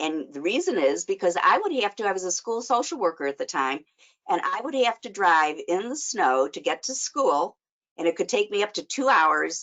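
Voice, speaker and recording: A woman speaks with a Chicago accent. Her pitch swings very widely at a moderate pace. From US Midwest, Chicago. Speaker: life coach and social worker. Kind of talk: webinar presentation. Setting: online webinar.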